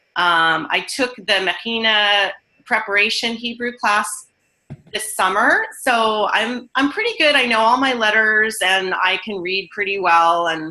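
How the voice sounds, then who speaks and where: An American accent with music in the background. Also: woman, fairly high pitch for a woman, ordinary pitch variation. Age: 50s. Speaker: student. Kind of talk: casual chat.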